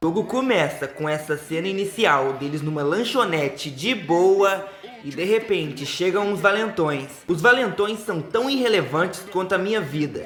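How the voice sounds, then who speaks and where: A man's high-pitched, animated voice with lively intonation at a fairly slow pace, with audible room echo and noticeable background noise. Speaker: gaming YouTuber. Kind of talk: video essay narration.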